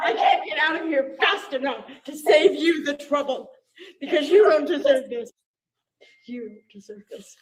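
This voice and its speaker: Her high-pitched voice moves at a fairly slow pace with lively intonation, long and frequent pauses, and big swings in loudness. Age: 70s. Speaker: resident in dispute with city. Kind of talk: heated argument. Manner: emotional, agitated.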